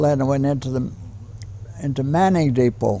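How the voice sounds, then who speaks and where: The speaker has a Canadian accent, and noticeable background noise runs underneath. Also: man. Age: 80s+. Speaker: war veteran. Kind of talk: interview answer.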